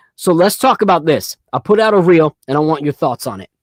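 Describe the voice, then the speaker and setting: A man with a New York accent is heard in a dry, close sound with no echo. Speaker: sports podcast host. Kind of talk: casual live podcast chat. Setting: home studio livestream. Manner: loud; animated.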